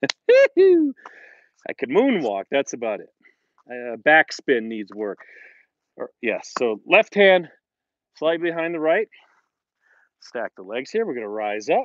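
This man talks at a very slow pace with long, frequent pauses. His pitch swings very widely. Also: big swings in loudness, dry sound with no echo. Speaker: fitness instructor. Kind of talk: workout instruction. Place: open country. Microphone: earbuds.

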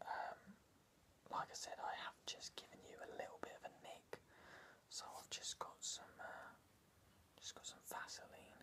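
A whispering man at a fairly slow pace, with long, frequent pauses. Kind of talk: casual comedic skit talk to camera. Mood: deadpan, hesitant. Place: home room. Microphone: phone near.

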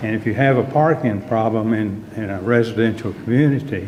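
A man with a Texan accent speaks at a medium pitch with fairly even intonation. There is noticeable background noise and audible room echo. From Texas, Dallas area. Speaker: resident speaking at public comment. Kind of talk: public comment at council meeting. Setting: city council meeting.

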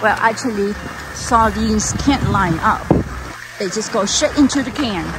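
With noticeable background noise, a woman at a fairly high pitch talks at a moderate pace, ordinary pitch variation, and long, frequent pauses. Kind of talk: casual on-location vlog talk. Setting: outdoors.

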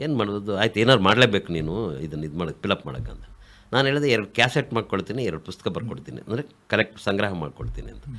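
The bright, sharp voice carries vocal fry, with very wide pitch swings and big swings in loudness. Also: man, fairly low pitch for a man. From Kolar district, Karnataka. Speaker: writer and activist. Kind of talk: radio interview.

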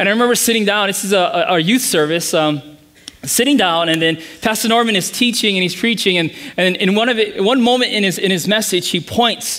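His speech moves at a moderate pace. The man's intonation is lively. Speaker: pastor. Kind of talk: sermon. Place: church.

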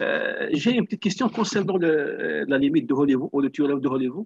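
A man with a plain, everyday voice, fairly high in pitch, at a fairly slow pace. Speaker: audience member. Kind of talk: question. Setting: video call. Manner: formal.

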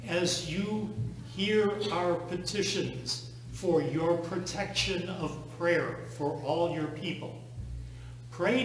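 Very slow speech in a room with audible echo. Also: man.

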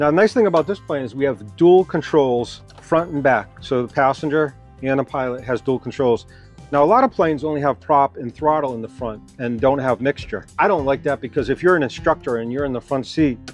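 Faint music sits in the background of a dry sound with no echo as a man talks at a fairly quick pace with ordinary pitch variation. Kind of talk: tutorial walkthrough. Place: hall.

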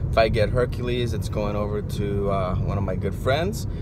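A man talks at a moderate pace amid loud background noise, the sound dry with no echo. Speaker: toy collector vlogger. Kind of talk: casual vlog chat. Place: car. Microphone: phone near.

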